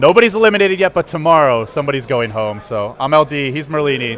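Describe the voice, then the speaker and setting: Noticeable background noise sits under a very fast voice with an American accent and very wide pitch swings. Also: man. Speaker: esports caster. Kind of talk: casual post-match analysis.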